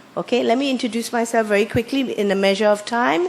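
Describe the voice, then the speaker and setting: Noticeable background noise sits behind this recording. A woman speaks with ordinary pitch variation. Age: 60s. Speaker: motivational speaker. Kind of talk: seminar presentation. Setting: workshop with audience.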